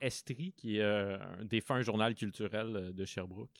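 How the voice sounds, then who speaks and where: A fairly low-pitched man at a fairly slow pace, dry and close with no echo, in a very clean recording with a silent background. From Quebec, Abitibi (Rouyn-Noranda). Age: 30s. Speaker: cultural journalist and podcaster. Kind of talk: interview. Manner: hesitant, many fillers and repetitions.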